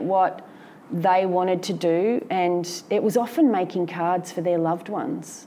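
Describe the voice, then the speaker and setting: Speaking with an Australian accent, a woman keeps a medium pitch and a moderate pace. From Victoria, Australia (Melbourne and Benalla). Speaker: artist. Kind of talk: interview before a live audience. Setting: gallery with live audience. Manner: halting, with frequent fillers and restarts.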